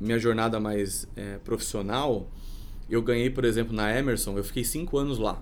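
Audible room echo surrounds a man of medium pitch. He talks at a fairly quick pace with fairly even intonation. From Brazil, Sorocaba (São Paulo state). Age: 30s. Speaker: entrepreneur. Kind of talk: casual interview.

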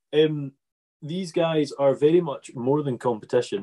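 In a dry, close recording with no echo, a man speaks with a dark, mellow tone and a Scottish accent. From Scotland. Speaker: farming podcast host. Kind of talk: casual interview. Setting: video call.

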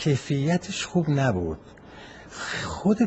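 A man at a fairly slow pace amid noticeable background noise. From Tehran, Iran. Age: 80s+. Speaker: retired manufacturer. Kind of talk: recorded interview answers. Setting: voice messages. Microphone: phone voice message recording.

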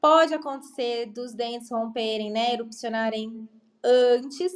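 A woman speaks at a fairly slow pace with a high pitch. Her pitch variation is ordinary. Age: 40s. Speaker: pediatric dentist. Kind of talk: podcast interview.

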